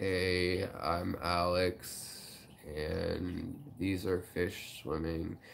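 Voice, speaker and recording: A man uses a put-on character voice, gravelly and very deep, with a very low pitch. He talks at a very slow pace over clear background noise. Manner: slow, slurred.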